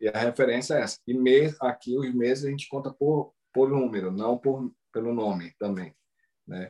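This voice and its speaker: A man's medium-pitched voice, dark and mellow in tone, with ordinary pitch variation at a moderate pace. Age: 40s. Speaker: Brazilian living in Japan, travel content creator. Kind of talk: casual interview. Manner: hesitant, repeats words.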